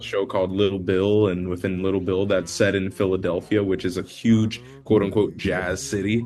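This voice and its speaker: At a moderate pace, a man with an American accent talks in a fairly low pitch. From Florida, US. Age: 20s. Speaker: jazz singer. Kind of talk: interview.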